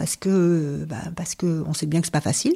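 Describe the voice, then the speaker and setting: Slightly airy female speech delivered at an even, middling tempo. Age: 50s. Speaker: HR consultant and professional coach. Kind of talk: interview conversation. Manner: hesitant fillers.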